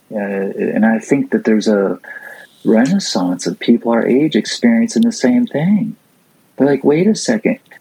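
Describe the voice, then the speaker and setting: Swinging very widely in pitch around a medium level, a man with an American accent talks at a moderate pace. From US, Florida (St. Petersburg). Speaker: skateboarder, motivational speaker and author. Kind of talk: casual interview. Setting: remote call from home.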